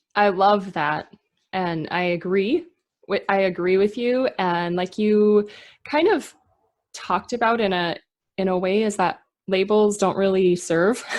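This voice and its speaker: A Minnesota accent at a fairly slow pace, with ordinary pitch variation and long, frequent pauses. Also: woman, medium pitch for a woman. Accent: Minnesotan American. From Minnesota, US. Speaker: podcast host. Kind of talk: interview.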